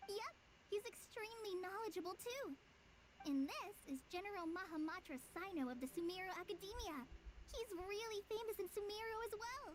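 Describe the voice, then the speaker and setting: A put-on character voice moves at a moderate pace against clear background noise. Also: woman, extremely high pitch for a woman. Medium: video game.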